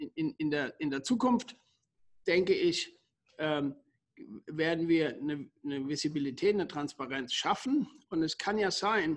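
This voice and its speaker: The speech moves at a fairly slow pace with lively intonation and long, frequent pauses. The background is quiet. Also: man, fairly high pitch for a man. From Germany. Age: 50s. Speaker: company founder and CEO. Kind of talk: interview. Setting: remote call. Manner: halting, many fillers and repetitions.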